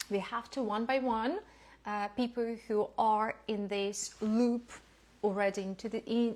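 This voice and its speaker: A woman with a non-native accent, fairly high in pitch, at a fairly slow pace. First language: not English. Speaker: lifestyle educator. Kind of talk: lecture. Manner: halting.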